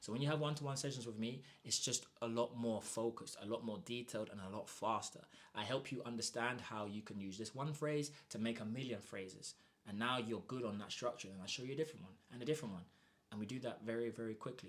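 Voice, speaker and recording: A man talks at a very fast pace in an animated tone. His pitch sits in the medium range. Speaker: Spanish teacher. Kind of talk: sales pitch.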